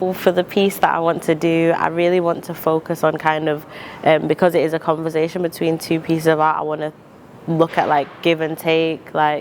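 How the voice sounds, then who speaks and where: Against noticeable background noise, a woman with a fairly low pitch speaks at a fairly quick pace in a flat monotone. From Zimbabwe, now Manchester. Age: 20s. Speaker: rapper and poet. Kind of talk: interview monologue. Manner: hesitant with fillers.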